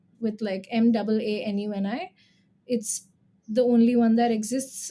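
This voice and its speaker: A woman's somewhat breathy voice, dark and mellow in tone, fairly high in pitch, with a Gujarati accent. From India, Gujarat. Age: 20s. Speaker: singer-songwriter and vocal coach. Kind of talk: casual interview.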